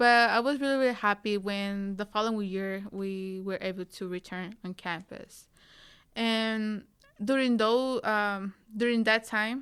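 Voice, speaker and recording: A woman's medium-pitched voice in a Spanish accent, fairly slow and fairly even in intonation, on a very clean recording with a silent background. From Tijuana, Mexico. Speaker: recent university graduate. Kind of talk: interview. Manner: halting, many fillers.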